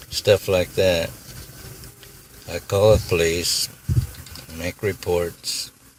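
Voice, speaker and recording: A soft-spoken man with a very deep, low pitch and monotone, flat intonation, very slow with long, frequent pauses, over noticeable background noise. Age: 80s+. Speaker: retired iron worker, feeds feral cats. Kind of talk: interview answer.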